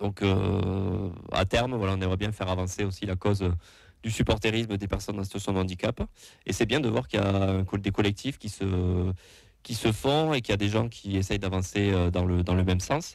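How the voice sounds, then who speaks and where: A man at a fairly quick pace with fairly low pitch, fairly even intonation, and a slight southwestern French accent, in a very clean recording with a silent background. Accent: slight southwest French. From southwest France. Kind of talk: casual chat. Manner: halting, many fillers.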